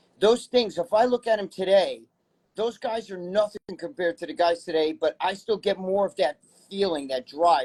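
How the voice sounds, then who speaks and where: With a New York accent, a man talks at a fairly quick pace in a high pitch with lively intonation, the sound dry and close with no echo. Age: 60s. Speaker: bodybuilding personality and magazine writer. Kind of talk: casual interview chat.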